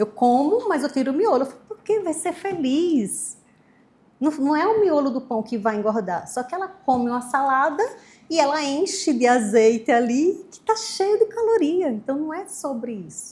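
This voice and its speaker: A woman with a high pitch talks at a moderate pace, making very wide pitch swings and big swings in loudness. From Brazil, Maceió (Alagoas, Northeast). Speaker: nutritionist. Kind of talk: interview.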